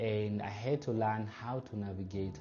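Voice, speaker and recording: Over music in the background, a man speaks with ordinary pitch variation, and the room echo is audible. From Democratic Republic of the Congo. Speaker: refugee speaker. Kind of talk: personal testimony talk. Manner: measured, with filler pauses.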